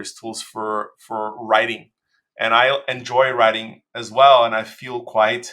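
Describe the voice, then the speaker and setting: A man with a Portuguese accent speaks at a medium pitch and a fairly slow pace. His intonation is monotone and flat, while his loudness swings widely. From Brazil. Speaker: designer. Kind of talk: interview. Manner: halting, many fillers and repetitions.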